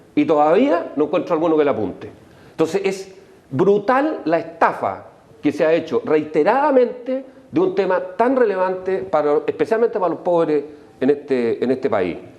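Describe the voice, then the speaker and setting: Against noticeable background noise, a man with a high pitch speaks at a moderate pace, his pitch swinging very widely while his loudness stays very even. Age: 60s. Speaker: political panelist. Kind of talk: heated debate. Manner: animated.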